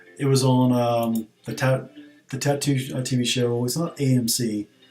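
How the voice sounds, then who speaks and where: A man's monotone, flat intonation, with music in the background. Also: medium pitch for a man. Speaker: gaming streamer. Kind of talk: casual gaming stream commentary. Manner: fast; hesitant, many fillers.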